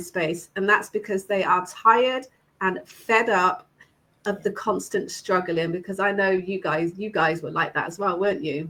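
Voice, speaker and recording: Her pace is moderate, her pitch medium, and her pitch variation ordinary. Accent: British. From UK. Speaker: online business host. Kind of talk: live stream hosting. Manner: animated.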